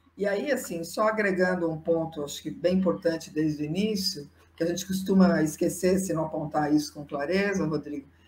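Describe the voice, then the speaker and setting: A woman speaks at a moderate pace with a fairly low pitch and ordinary pitch variation. Noticeable background noise runs underneath. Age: 60s. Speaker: psychologist and diversity consultant. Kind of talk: interview.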